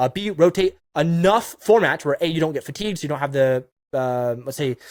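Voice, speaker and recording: Fairly high-pitched and animated, a man speaks at a fairly quick pace with lively intonation in a dry, close sound with no echo. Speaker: YouTube strategy consultant. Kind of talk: monologue advice video. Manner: fast.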